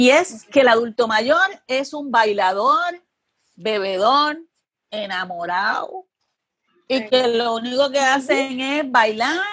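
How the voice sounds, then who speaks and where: A woman with a high pitch speaks at a very slow pace, her intonation lively. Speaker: journalist and TV producer. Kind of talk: interview conversation.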